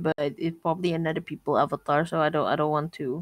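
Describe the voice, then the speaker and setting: Talking at a fairly quick pace, a woman has an unremarkable speaking voice with a fairly low pitch. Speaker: online gaming friend. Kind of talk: casual gameplay chat. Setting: voice chat online.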